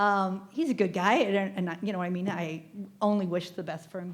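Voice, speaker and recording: With an American accent, a woman has an unremarkable speaking voice at a medium pitch and a moderate pace. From US Midwest (Nebraska). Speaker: living kidney donor. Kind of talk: group discussion.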